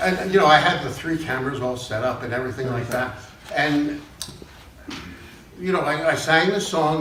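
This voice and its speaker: Noticeable background noise under a man's moderately paced speech, fairly high in pitch, with ordinary pitch variation. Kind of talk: live storytelling performance. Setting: live audience. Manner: casual, conversational.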